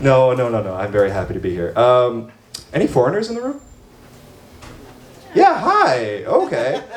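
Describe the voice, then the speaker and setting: A man with an American accent, long, frequent pauses, audible room echo and noticeable background noise. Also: moderate pace. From United States. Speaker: stand-up comedian and show emcee. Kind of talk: stand-up with crowd work. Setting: bar stage with live audience. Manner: animated.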